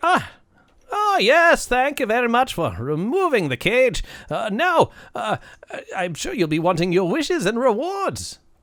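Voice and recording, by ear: Doing a put-on character voice, a man speaks at an extremely high pitch with very wide pitch swings. His pace is moderate.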